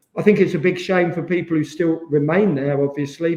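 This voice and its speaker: Speaking at a moderate pace with an East Midlands accent, a man has a high pitch and fairly even intonation. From England, Rushden, Northamptonshire. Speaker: former professional footballer. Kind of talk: podcast interview.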